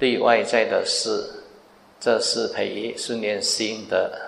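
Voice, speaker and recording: A man speaks with audible room echo around him. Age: 60s. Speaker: Buddhist monk teacher. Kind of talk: dharma Q&A talk.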